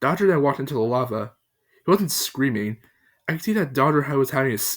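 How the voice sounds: In a natural reading voice with lively intonation, the speaker reads over a quiet background.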